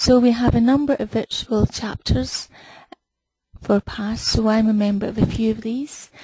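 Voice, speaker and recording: A woman with a Scottish accent speaks at a moderate pace and fairly high pitch. Her intonation is monotone and flat, in a dry, close sound with no echo. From Scotland. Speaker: webinar host, BI consultant. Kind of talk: webinar introduction.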